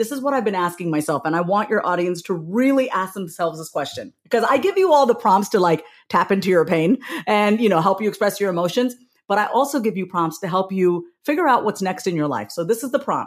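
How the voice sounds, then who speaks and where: A woman with an American accent and an animated tone, with lively intonation at a very fast pace, on a very clean recording with a silent background. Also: medium pitch for a woman. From US Northeast, Long Island, New York. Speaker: author and speaker. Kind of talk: casual chat.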